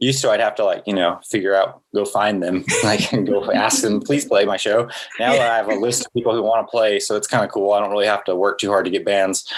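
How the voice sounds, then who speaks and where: This man talks at a very fast pace, with very even loudness and hardly any pauses. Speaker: artist and event organizer. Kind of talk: casual interview chat.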